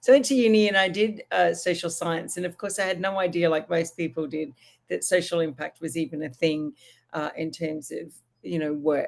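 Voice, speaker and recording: Her delivery comes fairly quickly. A woman's intonation rises and falls in a lively way. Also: fairly low pitch for a woman. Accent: Australian. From Australia. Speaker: social impact consultant and business founder. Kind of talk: podcast interview. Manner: casual, with many fillers and restarts.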